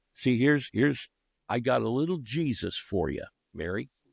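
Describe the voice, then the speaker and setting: A man speaks at a medium pitch with ordinary pitch variation. He has an American accent, and the sound is dry and close with no echo. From Texas. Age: 60s. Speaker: conservative commentator. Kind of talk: casual chat.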